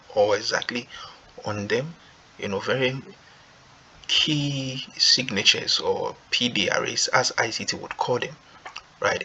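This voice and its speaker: Noticeable background noise sits under a man who talks at a very slow pace. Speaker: forex trading youtuber. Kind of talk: tutorial. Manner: low volume.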